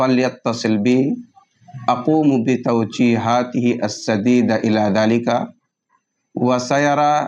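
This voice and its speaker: With flat, monotone intonation, the man holds a medium pitch. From India, Delhi. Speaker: Islamic teacher. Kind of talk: self-introduction. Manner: formal.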